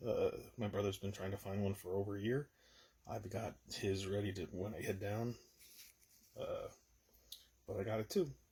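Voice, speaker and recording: A man speaks at a moderate pace. His fairly low voice is somewhat breathy. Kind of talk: casual talk to camera. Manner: relaxed, hesitant.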